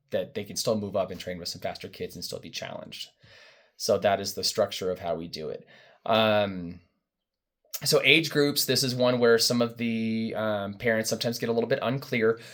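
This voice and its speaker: In a very clean recording with a silent background, a man speaks at medium pitch with ordinary pitch variation and big swings in loudness. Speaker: youth running coach. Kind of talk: informational parent briefing. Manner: fast.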